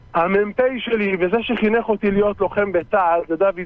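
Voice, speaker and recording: At a moderate pace, a man speaks in a high pitch with a dry sound that has no echo. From Israel, West Bank settlement; Israel. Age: 40s. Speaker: reserve soldier; interview guest. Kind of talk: interview. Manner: emphatic. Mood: indignant, defiant. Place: studio.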